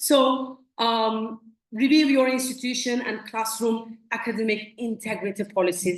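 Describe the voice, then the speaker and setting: With a Turkish accent, a woman speaks in a somewhat breathy voice with a fairly high pitch and fairly even intonation, amid audible room echo. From Turkey. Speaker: company representative at academic conference. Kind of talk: conference presentation.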